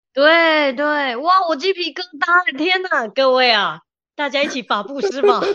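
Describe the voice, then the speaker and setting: Raised and projected, a woman's high-pitched voice has a bright, sharp tone and lively intonation at a fairly slow pace. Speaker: organizing consultant and podcast host. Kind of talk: casual chat. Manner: animated.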